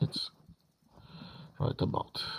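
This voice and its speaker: The man talking has a non-native accent. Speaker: game modder. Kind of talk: tutorial. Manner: halting.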